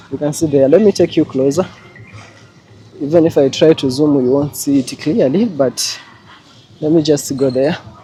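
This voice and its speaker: A man with a Kenyan accent, fairly high in pitch, with ordinary pitch variation, a moderate pace and long, frequent pauses amid noticeable background noise. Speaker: travel vlogger. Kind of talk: casual vlog narration. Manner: animated.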